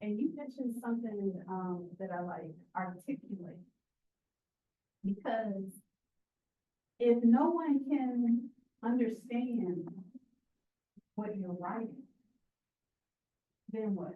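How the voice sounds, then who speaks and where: At a very slow pace with long, frequent pauses, a woman speaks in an American accent at a fairly high pitch with ordinary variation. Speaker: writing center instructor. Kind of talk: classroom workshop. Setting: classroom with students. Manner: interactive, encouraging.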